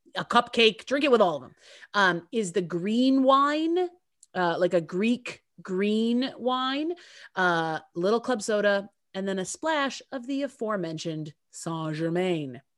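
Big swings in loudness and very wide pitch swings mark this fairly slow delivery. The recording is very clean, with a silent background. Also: woman, medium pitch for a woman. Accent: American. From upstate New York, US. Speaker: podcast co-host and actress. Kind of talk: casual chat.

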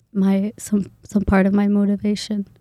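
On a very clean recording with a silent background, a woman with a Somali accent speaks at a medium pitch in a dark, mellow tone with monotone, flat intonation. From Boise, Idaho (from age ~9; born Kenya, Somali family). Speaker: graduate student. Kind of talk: casual interview.

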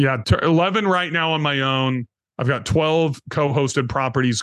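The speaker is a man with a normal speaking voice. His pitch is medium, with ordinary variation. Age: 50s. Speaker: real estate investor. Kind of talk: casual chat.

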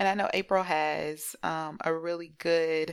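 A woman's very deep, low voice with fairly even intonation, on a very clean recording with a silent background. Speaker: therapist, podcast co-host. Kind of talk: casual chat.

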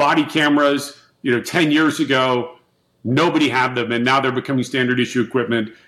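This man has an ordinary speaking voice, medium in pitch, delivered at a fairly quick pace with fairly even intonation and very even loudness. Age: 50s. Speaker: tech company CEO. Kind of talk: interview. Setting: video call.

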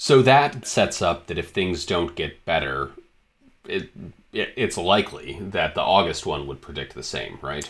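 A man with an American accent talks at a fairly slow pace in a very deep, low voice with vocal fry, very wide pitch swings and big swings in loudness. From Michigan. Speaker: digital director, podcast co-host. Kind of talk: casual educational conversation. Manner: halting, many fillers and repetitions.

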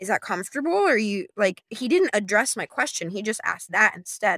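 A woman's fairly high, bright, sharp voice comes through dry and close with no echo. Her tone is animated, her intonation lively and her pace fairly quick. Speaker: nude model and content creator. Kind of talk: casual interview. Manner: high energy, animated; bubbly, silly.

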